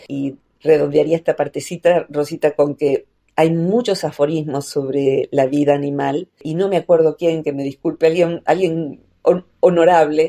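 A woman's very deep, low voice with a dark, mellow tone, fairly even intonation and a fairly slow pace, in a dry, close sound with no echo. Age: 60s. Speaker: psychologist. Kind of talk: radio interview. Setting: radio station.

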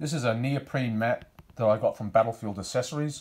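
With an Australian accent, a man talks at a moderate pace with ordinary pitch variation. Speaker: wargaming hobbyist. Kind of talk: tutorial. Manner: hesitant, many fillers. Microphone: phone near.

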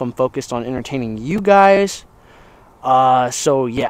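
The man's voice comes across dry, with no echo. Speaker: fitness vlogger. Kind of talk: casual vlog chat. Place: street. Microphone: lapel.

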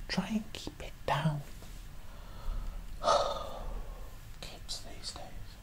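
Whispering at a very slow pace comes through over loud background noise. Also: man. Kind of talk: role-play monologue to viewer. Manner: whispered shushing librarian. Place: home room. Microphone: webcam.

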